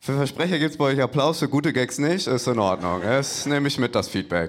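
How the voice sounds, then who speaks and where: With hardly any pauses, a man talks at a fairly quick pace in a fairly high pitch, showing vocal fry, lively intonation and very even loudness. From Hamburg. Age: 20s. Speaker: comedian. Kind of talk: stand-up. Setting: stage with audience.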